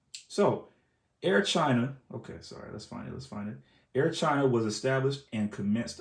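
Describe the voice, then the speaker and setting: His pitch moves with ordinary variation. The man's voice sits at a medium pitch. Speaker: model airplane collector and reviewer. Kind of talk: casual video review, partly reading aloud from a web page. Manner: fast; halting, with many fillers.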